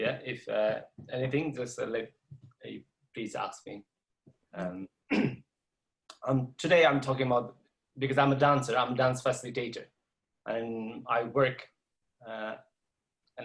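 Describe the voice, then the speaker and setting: A man at medium pitch and moderate pace, somewhat breathy, with fairly even intonation, big swings in loudness and long, frequent pauses. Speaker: dance facilitator. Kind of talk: interview. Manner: halting.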